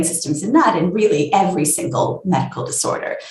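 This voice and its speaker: Audible room echo hangs on this woman's voice. She keeps a moderate pace. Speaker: neuroscientist. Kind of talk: interview. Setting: video call.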